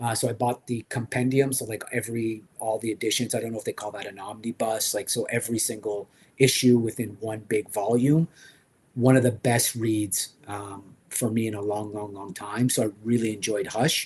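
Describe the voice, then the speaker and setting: Somewhat breathy, a man speaks at a medium pitch and a moderate pace with fairly even intonation but big swings in loudness. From French Canada. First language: French. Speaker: toy collector livestream host. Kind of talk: casual livestream chat. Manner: hesitant, many fillers.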